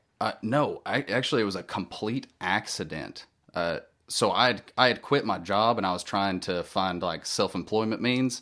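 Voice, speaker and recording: A man's fairly low voice with a Southern US accent, bright and sharp in tone, at a moderate pace with ordinary pitch variation, over a quiet background. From Tennessee. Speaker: musician and audiobook narrator. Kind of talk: casual interview chat. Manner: halting.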